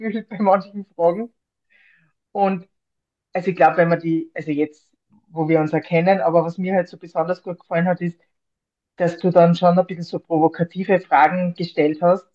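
In a dry, close sound with no echo, a woman speaks at a moderate pace with a fairly low pitch and fairly even intonation. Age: 40s. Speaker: librarian and mental trainer, breast cancer survivor. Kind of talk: interview.

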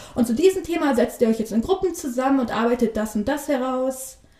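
With noticeable background noise behind her, a woman speaks at a fairly quick pace in a high pitch with lively intonation. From northern Germany, Bremerhaven. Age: 20s. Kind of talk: interview. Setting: studio.

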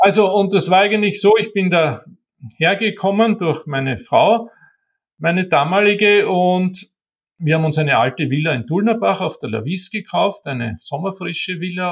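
A man with a high pitch and lively intonation, speaking at a fairly slow pace against a quiet background. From Austria, Vienna and Wienerwald. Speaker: art historian and bookseller. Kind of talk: interview.

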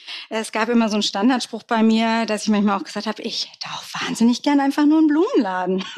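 Over noticeable background noise, a woman with a fairly high pitch and ordinary pitch variation talks at a very fast pace with hardly any pauses. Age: 40s. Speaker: brand consultant, coaching client. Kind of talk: interview.

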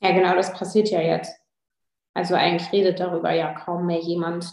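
A woman at a moderate pace in a flat, monotone delivery. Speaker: politician. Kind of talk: interview.

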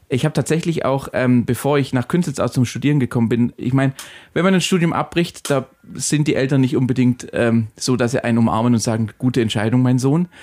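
A man speaks in a normal speaking voice at a medium pitch. His pitch variation is ordinary, and the recording is very clean with a silent background. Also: fairly quick pace, very even loudness. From Ulm, Swabia. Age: 30s. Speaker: agency partner. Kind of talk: casual interview.

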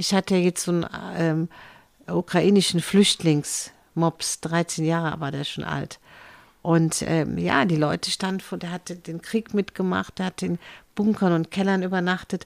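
With monotone, flat intonation, a woman speaks at a fairly low pitch and a fairly slow pace, in a dry, close sound with no echo. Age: 70s. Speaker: animal welfare donor, former PR woman. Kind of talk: casual interview. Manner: halting, many fillers.

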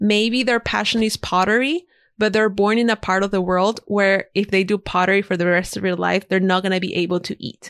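A woman with a Spanish accent speaks at a fairly quick pace with hardly any pauses, medium pitch and fairly even intonation. The sound is dry and close with no echo on a very clean recording with a silent background. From Ecuador. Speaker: freelance designer and podcaster. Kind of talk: casual interview conversation.

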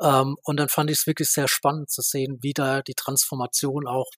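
The recording is very clean with a silent background, and a man speaks at a fairly high pitch in a monotone, flat intonation. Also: dry, close sound with no echo. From Baden-Württemberg, Germany. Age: 30s. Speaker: renewable energy association director. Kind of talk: interview.

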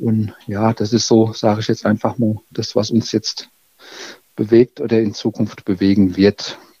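At a fairly slow pace, a man talks in a monotone, flat way, the sound dry and close with no echo. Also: fairly low pitch for a man. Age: 50s. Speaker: village mayor. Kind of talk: interview. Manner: halting, many fillers.

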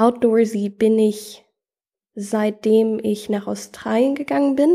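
Recorded very cleanly against a silent background, a woman speaks in a dark, mellow tone with ordinary pitch variation. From US South (Athens, Georgia) and Germany. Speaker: adventurer. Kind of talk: casual interview.

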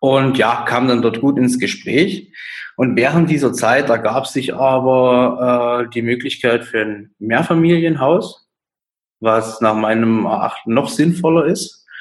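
Very slow speech from a man at a medium pitch, the pitch varying in an ordinary way. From Saxony, Dresden. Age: 20s. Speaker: real estate agent. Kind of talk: interview. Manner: hesitant, many fillers.

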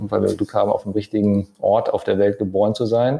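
This is a man with a plain, everyday voice. He talks at a fairly quick pace. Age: 40s. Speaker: architect and property developer. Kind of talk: casual interview. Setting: on location in a holiday building.

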